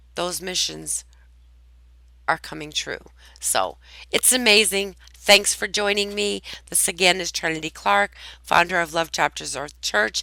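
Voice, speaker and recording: A woman's fairly low, bright, sharp voice with vocal fry, very wide pitch swings and big swings in loudness, at a fairly slow pace with long, frequent pauses, on a very clean recording with a silent background. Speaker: network marketing presenter and church founder. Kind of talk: tutorial. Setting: at home. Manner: casual, conversational.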